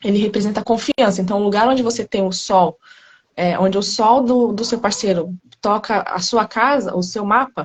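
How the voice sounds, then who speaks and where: Soft-spoken, this voice keeps a fairly even intonation. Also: woman, fairly high pitch for a woman, moderate pace. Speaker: astrologer. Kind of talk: informal explanation in live chat. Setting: live video call.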